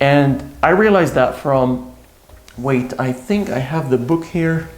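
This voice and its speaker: A man with a non-native accent speaks very slowly at a medium pitch with lively intonation. Music in the background and audible room echo fill the recording. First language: not English. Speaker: self-help YouTuber. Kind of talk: casual vlog talk to camera. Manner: casual, with fillers and repetitions.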